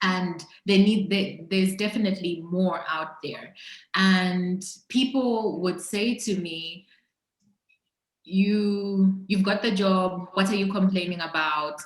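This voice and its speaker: Somewhat breathy and medium in pitch, a woman speaks at a very slow pace with fairly even intonation and audible room echo. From Zambia. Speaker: entrepreneur. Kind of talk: interview conversation.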